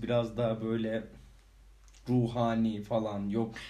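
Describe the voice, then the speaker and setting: A man at medium pitch with fairly even intonation, in audible room echo. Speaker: podcast co-host. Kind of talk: casual chat. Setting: home recording. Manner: laughing often.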